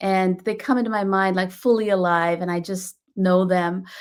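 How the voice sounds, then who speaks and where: In a very clean recording with a silent background, a woman with a Bengali accent speaks at a moderate pace with fairly even intonation. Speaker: children's book author. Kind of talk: author talk about own book.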